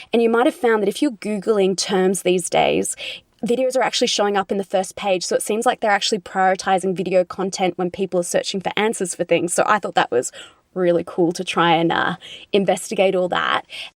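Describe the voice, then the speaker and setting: At a fairly quick pace, a woman with an Australian accent speaks at a medium pitch with ordinary pitch variation, the sound dry and close with no echo. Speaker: conservator and YouTuber. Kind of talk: interview.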